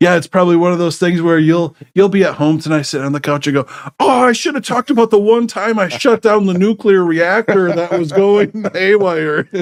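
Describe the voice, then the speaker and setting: Hardly pausing, a man speaks at a fairly quick pace in a high voice with ordinary pitch variation. The sound is dry and close, with no echo. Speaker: tech services business owner, podcast host. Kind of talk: casual chat.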